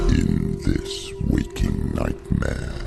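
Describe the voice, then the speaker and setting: Loud background noise runs behind a man doing a put-on character voice. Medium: short film. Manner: menacing.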